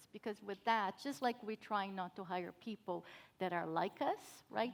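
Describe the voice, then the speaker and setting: A woman speaks in a Brazilian Portuguese accent. Her pace is fairly slow. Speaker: cybersecurity professional. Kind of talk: panel discussion.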